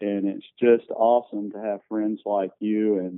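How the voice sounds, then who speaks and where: At a fairly slow pace, a man talks in a monotone, flat intonation with a fairly low pitch. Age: 60s. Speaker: entrepreneur. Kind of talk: podcast interview. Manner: halting, many fillers.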